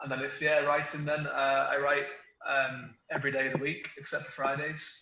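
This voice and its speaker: A flat, monotone delivery in a strong Manchester accent, with big swings in loudness and audible room echo. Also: man, fairly high pitch for a man, moderate pace. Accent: Mancunian, quite strong. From northern England, Manchester. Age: 30s. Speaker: author. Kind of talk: interview. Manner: halting.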